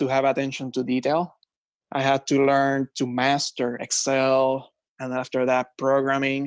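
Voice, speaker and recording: Speaking at a medium pitch with a Puerto Rican accent, a man is recorded dry and close with no echo against a quiet background. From Puerto Rico. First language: Spanish. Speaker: finance executive. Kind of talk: podcast interview.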